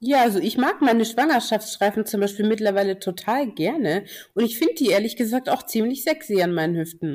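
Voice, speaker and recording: In a normal speaking voice, a woman talks at a fairly high pitch and a fairly quick pace with lively intonation, on a very clean recording with a silent background. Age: 20s. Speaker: curvy model. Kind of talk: casual chat.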